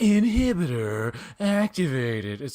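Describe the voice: Using a put-on character voice at a middle pitch, the speaker moves through very wide pitch swings at a fairly slow pace.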